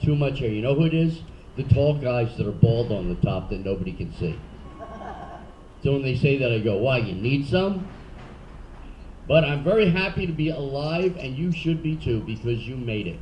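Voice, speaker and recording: A man with a Philadelphia accent speaks at a medium pitch and a moderate pace, with very wide pitch swings and long, frequent pauses, amid audible room echo and noticeable background noise. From Philadelphia, US. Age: 60s. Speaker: comedian. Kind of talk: stand-up. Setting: stage with audience.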